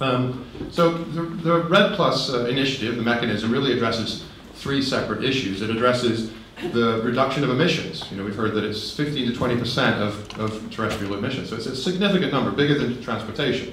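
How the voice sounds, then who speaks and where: A man's medium-pitched voice at a very fast pace, with lively intonation, audible room echo and noticeable background noise. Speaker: conference speaker on forest climate policy. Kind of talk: conference talk.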